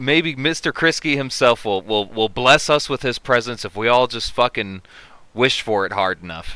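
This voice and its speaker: Speaking at a fairly slow pace, a man uses lively intonation in a bright, sharp tone at a medium pitch. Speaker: livestream host. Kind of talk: casual livestream chat. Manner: loud; halting.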